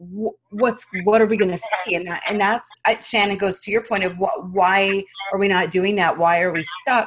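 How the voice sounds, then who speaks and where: A woman with an American accent in an ordinary speaking voice, medium pitch, fairly even intonation, moderate pace and hardly any pauses. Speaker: podcast co-host. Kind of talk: casual interview.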